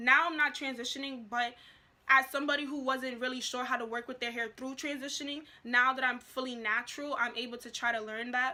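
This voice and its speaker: A woman's raised, projected voice, high in pitch, bright and sharp in tone, monotone and flat in intonation, at a fairly quick pace. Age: young. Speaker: natural hair vlogger. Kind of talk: casual talk to camera.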